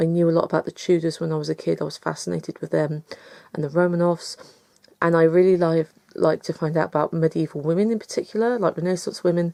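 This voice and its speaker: With an English accent, a woman speaks very fast at a fairly low pitch, her intonation fairly even. Her tone is dark and mellow, and the sound is dry and close with no echo. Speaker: book vlogger. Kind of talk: casual chat.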